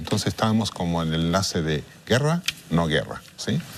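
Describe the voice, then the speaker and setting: A man talks with lively intonation. Noticeable background noise sits behind him. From Chile. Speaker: international mediator. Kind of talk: interview. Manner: halting.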